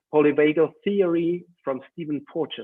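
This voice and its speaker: A man with a German accent, fairly high in pitch, at a moderate pace. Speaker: educational trainer. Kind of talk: webinar talk. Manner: halting.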